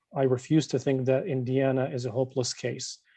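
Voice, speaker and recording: A man speaks at a moderate pace in a medium pitch, his tone dark and mellow. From born overseas. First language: not English. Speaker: state legislator. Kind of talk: closing remarks at online community meeting. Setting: video call.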